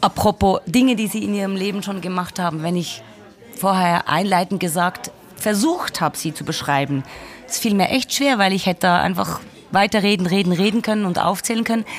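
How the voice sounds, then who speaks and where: A woman speaks at a fairly quick pace over crowd noise in the background. Her pitch is medium, with ordinary variation. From Switzerland, Basel. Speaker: podcast host. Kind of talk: interview. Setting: café.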